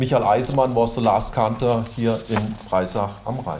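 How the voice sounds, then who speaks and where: A man speaks with a German accent. Audible room echo and noticeable background noise fill the recording. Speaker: mayor. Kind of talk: formal welcome speech. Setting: town hall reception with audience. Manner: reading from paper.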